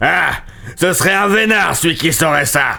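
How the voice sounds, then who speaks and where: A man growls in a high-pitched, put-on character voice at a moderate pace. Light background noise can be heard. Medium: read story. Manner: growling.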